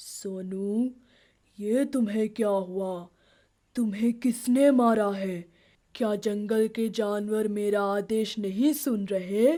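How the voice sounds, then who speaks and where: A cartoonish, female-sounding character voice, fairly high in pitch and very slow, on a very clean recording with a silent background. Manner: authoritative, caring.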